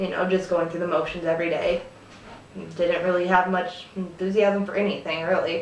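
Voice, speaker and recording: A woman's medium-pitched, monotone, flat delivery at a fairly quick pace, with noticeable background noise. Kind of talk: casual talk to camera. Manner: hesitant, with fillers.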